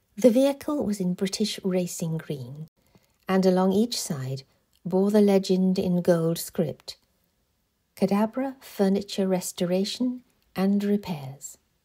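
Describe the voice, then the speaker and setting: Somewhat breathy and dark, mellow in tone, a woman speaks at a fairly slow pace. Her medium pitch carries lively intonation. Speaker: author reading own novel. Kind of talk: audiobook reading.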